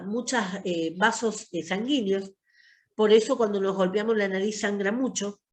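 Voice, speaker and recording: A woman's fairly high-pitched voice with ordinary pitch variation, at a fairly slow pace. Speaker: pharmacy course teacher. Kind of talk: online lecture. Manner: long breath phrases.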